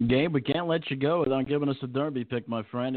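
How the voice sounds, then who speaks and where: A man with an ordinary speaking voice, fairly quick in pace, with ordinary pitch variation. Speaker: harness racing radio host. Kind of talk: casual radio show banter.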